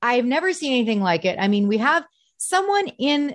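With an American accent, a woman speaks in an animated tone. The background is quiet. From US Midwest, Detroit area. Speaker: comedian and impersonator. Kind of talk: casual interview chat.

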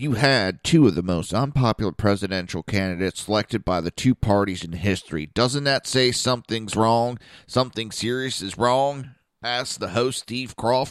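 A plain, everyday voice with ordinary pitch variation, dry, close sound with no echo, and a very clean recording with a silent background. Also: man, medium pitch for a man. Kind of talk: angry political rant on talk radio. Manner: loud, sarcastic, indignant, fast and scornful, swearing.

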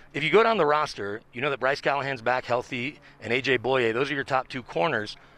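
A man with an American accent talks at a fairly quick pace in a bright, sharp tone, his medium pitch showing ordinary variation. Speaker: sports reporter. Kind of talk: casual sports interview.

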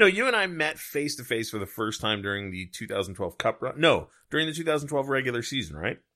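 Rushing at a very fast pace with hardly any pauses, a man with a fairly high pitch and vocal fry swings his pitch very widely in a bright, sharp tone. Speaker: podcast host. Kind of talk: casual chat. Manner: chatty, laughing.

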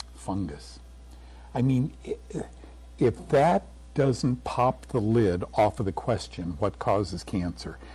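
Very slow, with long, frequent pauses, a man speaks in a very deep, low pitch with very wide pitch swings, vocal fry and a dark, mellow tone. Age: 70s. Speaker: health TV host and author, war veteran. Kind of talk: radio interview.

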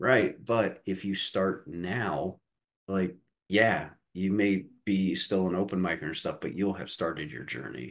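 A man with a very deep, low voice and a Midwestern American accent, at a fairly slow pace with ordinary pitch variation. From Indiana. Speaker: comedian and college professor. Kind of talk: casual interview.

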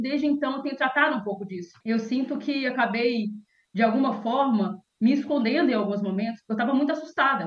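Her voice is high in pitch, and the woman uses ordinary pitch variation. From interior of Minas Gerais, Brazil. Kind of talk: interview and casual chat.

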